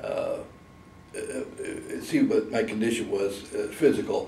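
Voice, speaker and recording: Speaking very slowly with long, frequent pauses, a man with an American accent is heard over audible room echo. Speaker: war veteran. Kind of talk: oral history interview.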